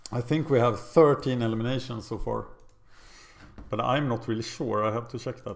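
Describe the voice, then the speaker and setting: A man speaks with a Swedish accent and fairly even intonation. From Sweden. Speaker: gaming video creator. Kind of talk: gameplay commentary. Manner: casual, thinking aloud.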